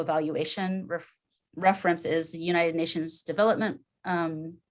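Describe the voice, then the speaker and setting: A woman's plain, everyday voice, fairly low in pitch, with fairly even intonation at a fairly quick pace. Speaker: club member presenter. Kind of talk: short presentation. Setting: video call.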